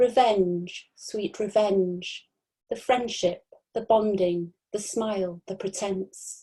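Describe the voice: A quiet background behind plain reading aloud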